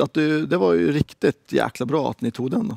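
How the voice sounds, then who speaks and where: This man's voice sounds dry with no echo against a quiet background. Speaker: game show host for women's hockey league. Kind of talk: game show style interview. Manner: animated. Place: studio.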